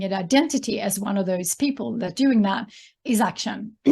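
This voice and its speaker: At a moderate pace, a woman speaks somewhat breathily with ordinary pitch variation. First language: Swedish. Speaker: entrepreneur and author. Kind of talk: interview. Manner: hesitant, many fillers.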